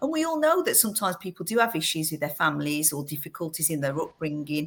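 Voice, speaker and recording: Speaking at a fairly quick pace, a woman uses an English Midlands accent and a fairly low pitch. The recording is very clean, with a silent background. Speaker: fostering agency director. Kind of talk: podcast interview.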